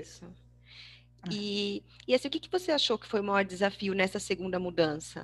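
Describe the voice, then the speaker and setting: A woman with an ordinary speaking voice talks at a fairly quick pace and medium pitch with ordinary pitch variation. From Brazil, Bragança Paulista (São Paulo state). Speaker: podcast host. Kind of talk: casual interview.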